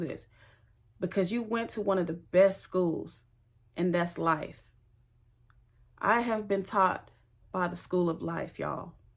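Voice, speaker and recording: In a Louisiana accent, a woman speaks at a moderate pace with ordinary pitch variation. She leaves long, frequent pauses, and the recording is very clean with a silent background. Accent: Louisiana Southern US. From Louisiana, US South. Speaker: spiritual teacher, tarot reader. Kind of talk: personal introduction monologue.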